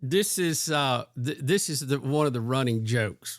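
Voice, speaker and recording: A man with a Southern US accent speaks at a fairly slow pace in a medium pitch, with ordinary pitch variation. The sound is dry and close, with no echo. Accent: Southern American. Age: 60s. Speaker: podcast host. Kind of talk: casual chat. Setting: video call.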